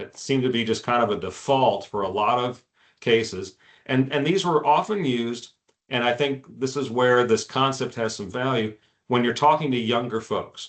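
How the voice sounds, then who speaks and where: A man's medium pitch shifts in an ordinary way as he talks at a moderate speed. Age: 60s. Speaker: insurance advisor. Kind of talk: webinar presentation. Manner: hesitant, many fillers.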